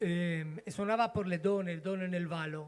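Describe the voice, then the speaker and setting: A voice in a Spanish accent with ordinary pitch variation, on a very clean recording with a silent background. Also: man. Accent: Spanish accent in Italian. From Spain, Castile (Burgos). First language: Spanish (speaking Italian). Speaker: folk musician. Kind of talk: stage introduction to a performance. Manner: halting.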